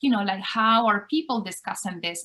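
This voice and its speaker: Speaking with a Spanish accent, a woman keeps a moderate pace and ordinary pitch variation. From Spain. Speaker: university lecturer. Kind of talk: interview.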